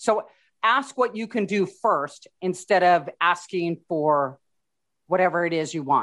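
In a quiet background, a woman with an unremarkable speaking voice talks at a fairly slow pace and fairly low pitch, with lively intonation. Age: 50s. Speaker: podcast host. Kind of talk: interview.

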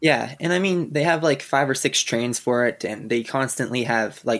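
A man is speaking. He has a Canadian Prairie accent. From Saskatchewan, Canada. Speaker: roller coaster enthusiast. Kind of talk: casual chat.

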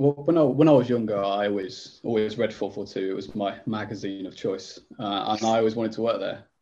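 Speaking at a fairly quick pace with hardly any pauses, a man uses a fairly low pitch, ordinary pitch variation and a dark, mellow tone. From Leicester, England. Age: 30s. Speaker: magazine editor. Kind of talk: casual chat.

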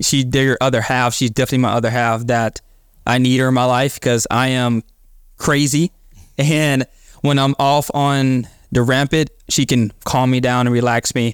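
Dry and close with no echo, a man's medium-pitched voice holds a monotone, flat intonation at very even loudness. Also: very clean recording, silent background. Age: 20s. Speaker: church member and podcaster. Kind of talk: testimony.

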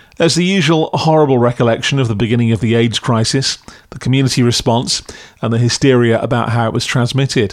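Speaking at a very fast pace, a man uses a medium pitch with ordinary variation. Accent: English. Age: 50s. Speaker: podcast critic. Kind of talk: scripted review.

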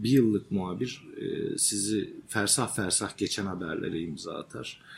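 With noticeable background noise, a man with a fairly low pitch speaks at a moderate pace using lively intonation. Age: 40s. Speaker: journalist and author. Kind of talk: interview. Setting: journalism workshop.

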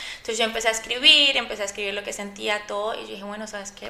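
Noticeable noise runs in the background while a woman talks. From Colombia (Antioquia family). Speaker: chef and cooking competition winner. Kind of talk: interview. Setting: studio.

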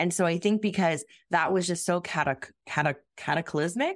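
A woman with a plain, everyday voice speaks at a medium pitch with ordinary pitch variation against a quiet background. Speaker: therapist guest. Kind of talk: casual interview chat.

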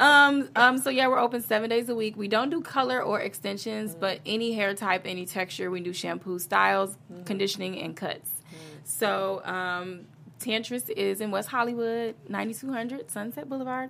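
A woman talks at a moderate pace in a bright, sharp tone and fairly high pitch, with ordinary pitch variation. Her loudness swings widely on a very clean recording with a silent background. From US Midwest, Chicago. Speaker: hair stylist and fitness and style expert. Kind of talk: casual interview.

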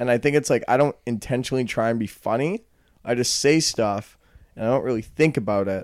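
At a fairly quick pace, a man talks in a normal speaking voice at medium pitch with ordinary pitch variation. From Calgary, Canada. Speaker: podcast co-host. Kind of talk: casual comedic banter.

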